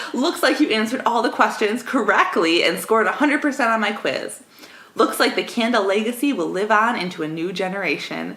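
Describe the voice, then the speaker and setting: A woman speaks at a fairly quick pace with a fairly high pitch and lively intonation, over noticeable background noise. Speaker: podcast co-host, comedy newscaster. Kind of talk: comedy news podcast banter.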